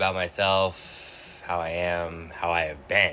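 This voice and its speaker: A man with a very deep, low pitch and an American accent, at a very slow pace. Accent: Boston accent comes out sometimes. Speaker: vlogger. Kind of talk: personal reflection monologue. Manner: halting.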